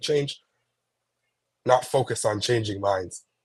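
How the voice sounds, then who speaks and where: A man speaks with a somewhat breathy voice and fairly even intonation. The recording is very clean, with a silent background. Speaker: youth civic engagement advocate. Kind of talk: interview.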